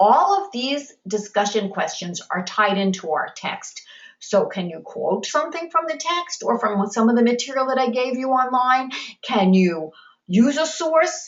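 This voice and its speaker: Speaking at a fairly slow pace with an American accent, a woman lets her pitch swing very widely. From New York. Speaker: college instructor. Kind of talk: online class lecture. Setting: video conference.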